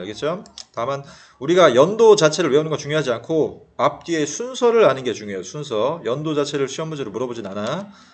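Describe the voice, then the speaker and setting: A man speaks at a fairly quick pace with very wide pitch swings. There is noticeable background noise. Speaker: history teacher. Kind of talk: lecture. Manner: fast; casual, conversational.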